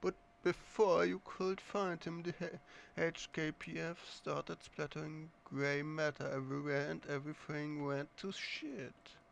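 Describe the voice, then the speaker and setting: A man puts on a nasal character voice, fairly high in pitch. He speaks at a moderate pace over clear background noise. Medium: actual play. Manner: sweet, nasal, grinding, menacing.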